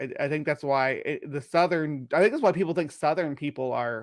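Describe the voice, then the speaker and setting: On a very clean recording with a silent background, a man with an American accent talks at a moderate pace in a fairly high pitch with ordinary pitch variation. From Missouri. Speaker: podcast co-host. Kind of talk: casual chat.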